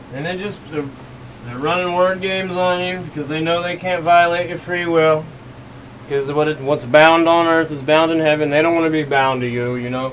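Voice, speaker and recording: Mumbling at a moderate pace with fairly even intonation, a man is heard with audible room echo and noticeable background noise. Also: fairly high pitch for a man. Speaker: conspiracy video creator. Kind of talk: solo video monologue. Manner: rambling, mumbling.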